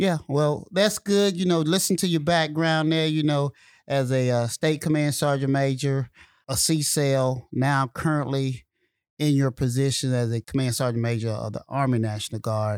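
A man with a Southern US accent at a fairly high pitch, ordinary pitch variation and a moderate pace, in a very clean recording with a silent background and a dry, close sound with no echo. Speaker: military senior enlisted leader, podcast host. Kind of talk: interview conversation. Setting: studio.

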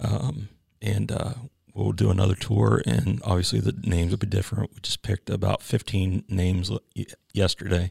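In an American accent, a man talks at a moderate pace with a very deep, low pitch and vocal fry. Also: lively intonation. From Pennsylvania, Chambersburg. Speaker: university veterans coordinator, Marine veteran. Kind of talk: interview. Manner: halting, many fillers.

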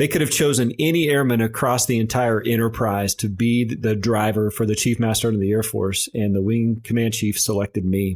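A man at medium pitch talks at a moderate pace with an American accent and an unremarkable speaking voice. The recording is very clean, with a silent background. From US Midwest, rural south central Nebraska. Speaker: senior military enlisted leader. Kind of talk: interview.

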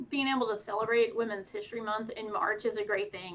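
With an American accent, a woman at a fairly high pitch talks in a plain, everyday voice. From Pennsylvania, Poconos. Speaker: military officer and pilot. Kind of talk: interview.

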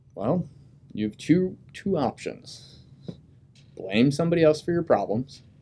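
Speaking with an American accent, a man has a fairly high pitch, a dark, mellow tone, vocal fry and lively intonation, moving at a fairly slow pace with long, frequent pauses. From US Midwest (Dayton, Ohio). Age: 30s. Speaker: Marine officer and graduate student. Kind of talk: casual interview.

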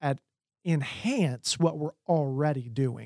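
A man's ordinary speaking voice, fairly high in pitch with ordinary pitch variation, dry and close with no echo, on a very clean recording against a silent background. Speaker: army chaplain and ethics instructor. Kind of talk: podcast interview.

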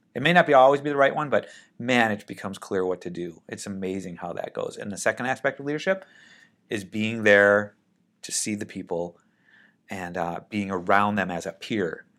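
A man with an American accent has an unremarkable speaking voice, fairly low in pitch, with lively intonation and big swings in loudness at a fairly quick pace. The recording is very clean, with a silent background. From Minnesota, US (Saint Paul). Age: 50s. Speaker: air force general and airline pilot. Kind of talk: interview.

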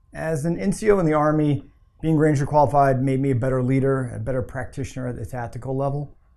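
Very fast, a man talks in a dark, mellow tone at a fairly high pitch. His pitch varies in an ordinary way. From US Air Force family, moved around. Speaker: military officer, squadron commander. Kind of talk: interview.

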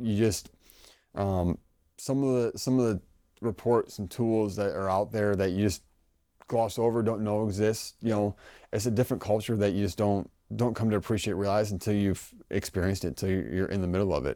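A man speaks fairly quickly with a dark, mellow tone, fairly low pitch and fairly even intonation, in a very clean recording with a silent background. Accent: American. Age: 30s. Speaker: army officer. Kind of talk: interview.

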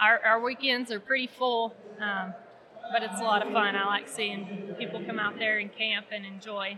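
Noticeable background noise behind a woman's fairly high, monotone, flat voice with an American accent at a moderate pace. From Oklahoma, Ardmore. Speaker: park ranger. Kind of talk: interview. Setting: expo event at a mall.

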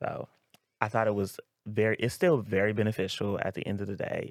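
A man with an ordinary speaking voice and a fairly low pitch talks at a moderate pace, the sound dry and close with no echo. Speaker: school counselor and soldier. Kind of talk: podcast interview.

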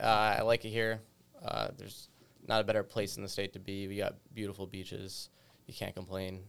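A normal speaking voice: a man with an American accent, fairly low-pitched, talking at a fairly quick pace. His intonation stays fairly even while his loudness swings widely. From western Massachusetts, rural. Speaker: staff sergeant. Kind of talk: casual panel discussion.

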